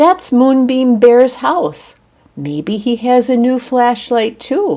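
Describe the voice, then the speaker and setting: A soft-spoken, female-sounding put-on character voice, high in pitch, at a very slow pace. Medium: read story.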